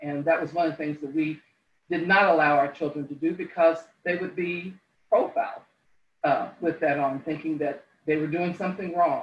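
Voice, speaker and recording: A woman's normal speaking voice in an American accent, at a moderate pace with fairly even intonation. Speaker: congregation member. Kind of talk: testimony.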